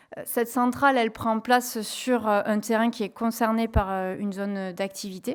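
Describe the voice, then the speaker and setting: Speaking at a moderate pace with a southwestern French accent, a woman uses a fairly high pitch and fairly even intonation. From southwest France. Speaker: renewable energy company environmental manager. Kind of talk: conference presentation. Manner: hesitant, many fillers.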